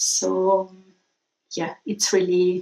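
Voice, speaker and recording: A woman speaks with an Italian accent. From Italy. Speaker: viewer video submitter. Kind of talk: personal video message.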